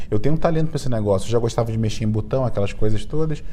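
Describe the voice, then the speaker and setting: A man speaks at a very fast pace with audible room echo and noticeable background noise. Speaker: entrepreneur and startup mentor. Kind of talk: podcast interview. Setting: recording at a conference event.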